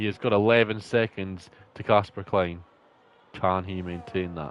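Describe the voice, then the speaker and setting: A man with a Scottish accent speaks at a very deep, low pitch with fairly even intonation. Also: moderate pace. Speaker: sim racing league commentator. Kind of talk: live commentary.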